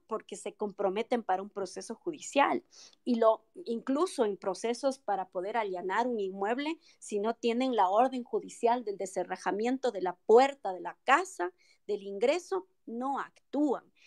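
A woman with a plain, everyday voice, fairly high in pitch, with lively intonation at a fairly slow pace, in a dry, close sound with no echo. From Ecuador, Quito (moved there at six; family from Loja). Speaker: lawyer and mayoral pre-candidate. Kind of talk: political interview. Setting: online audio room.

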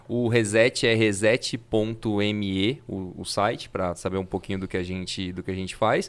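At a fairly slow pace with hardly any pauses, a man with a fairly low pitch and fairly even intonation speaks in a plain, everyday voice. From Fernandópolis, interior São Paulo, Brazil. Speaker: innovation consultant and futurist. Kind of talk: casual chat.

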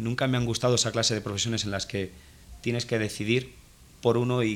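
A man uses a normal speaking voice at a medium pitch. He talks fairly quickly with fairly even intonation. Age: 30s. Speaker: photo retoucher, studio owner. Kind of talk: interview. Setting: guest's studio office.

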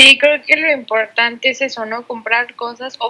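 Fairly slow and fairly even in intonation, a woman speaks at a high pitch. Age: 20s. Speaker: podcast co-host, architecture student. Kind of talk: casual chat. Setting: recording from home.

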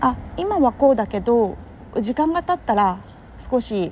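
A woman speaks in a relaxed tone. Noticeable background noise runs behind her. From Kurume, Fukuoka, Japan. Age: 30s. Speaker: podcaster and entrepreneur. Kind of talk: casual solo monologue. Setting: walking outdoors in Tokyo. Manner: relaxed, conversational with many fillers.

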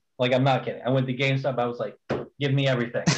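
This is a man speaking at a medium pitch. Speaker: community admin and podcast co-host. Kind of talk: casual chat.

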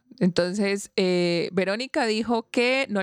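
An ordinary speaking voice comes through a dry, close sound with no echo and ordinary pitch variation. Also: woman. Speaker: podcast co-host. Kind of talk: casual chat.

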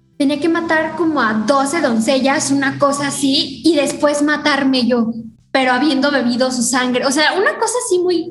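Moderate pace and ordinary pitch variation at a very even loudness, with audible room echo and noticeable background noise. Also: woman, high pitch for a woman. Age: 20s. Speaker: theater student. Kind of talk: casual chat. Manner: animated.

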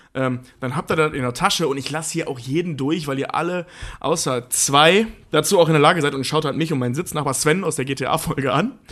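A man speaks at a fairly quick pace in a normal speaking voice. His pitch is fairly high, with ordinary variation. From eastern Germany. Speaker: podcast co-host. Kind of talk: casual chat.

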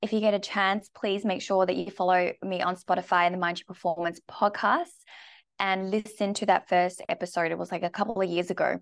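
In a dry, close recording with no echo and a quiet background, a woman talks at a fairly quick pace and a medium pitch. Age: 30s. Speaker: health and performance coach. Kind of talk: casual live-stream monologue. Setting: Instagram live video. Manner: animated.

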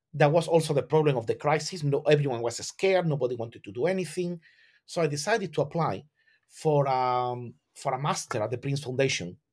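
A man with a Spanish accent talks at a fairly quick pace in a fairly high voice that is somewhat breathy, with ordinary pitch variation, on a very clean recording with a silent background. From southern Spain. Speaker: classical architect and educator. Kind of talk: interview. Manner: halting, with frequent repetitions.

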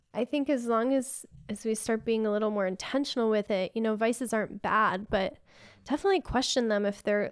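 This is an ordinary speaking voice with ordinary pitch variation. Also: woman, very clean recording, silent background. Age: 30s. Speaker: Reiki practitioner and yoga teacher. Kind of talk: casual chat.

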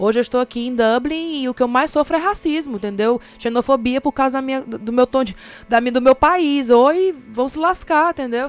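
A woman's high voice in a Fortaleza accent with ordinary pitch variation and hardly any pauses, in a dry, close sound with no echo. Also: moderate pace. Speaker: podcast co-host. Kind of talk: casual chat.

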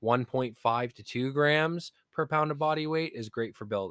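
An unremarkable speaking voice from a man at a moderate pace, with ordinary pitch variation and a dry, close sound with no echo, in a very clean recording with a silent background. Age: 30s. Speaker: fitness podcast co-host. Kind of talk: casual chat.

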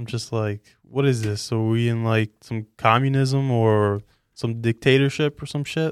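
A man with a New York accent talks at a moderate pace with fairly even intonation and medium pitch. The sound is dry and close, with no echo. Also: very clean recording, silent background. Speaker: podcast co-host. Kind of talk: casual chat.

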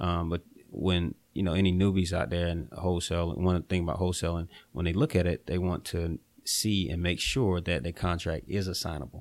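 Very clean and silent in the background, this recording features a man with a Southern US accent. His pitch is very deep and low, and his pace is fairly quick. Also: ordinary pitch variation. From eastern North Carolina. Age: 20s. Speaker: real estate investor. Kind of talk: casual interview.

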